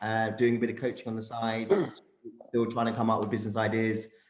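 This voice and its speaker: A medium-pitched man with a London accent, with audible room echo. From London, England. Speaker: career coach and startup founder. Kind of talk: panel discussion.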